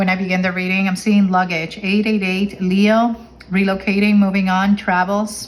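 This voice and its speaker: A woman's medium-pitched voice in a flat monotone. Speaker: tarot reader. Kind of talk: tarot reading monologue. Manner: fast; halting, self-correcting.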